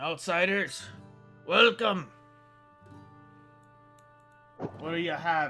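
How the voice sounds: A man's raspy, put-on character voice, high in pitch, very slow with long, frequent pauses, over faint music in the background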